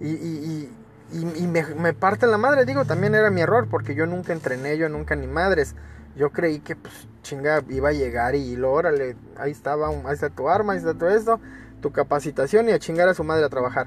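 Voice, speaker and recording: Speaking at a fairly quick pace, a man with a Mexican accent uses a fairly high pitch. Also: lively intonation. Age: 30s. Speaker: podcaster telling his life story. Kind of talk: personal storytelling monologue. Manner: casual, with many fillers and repetitions.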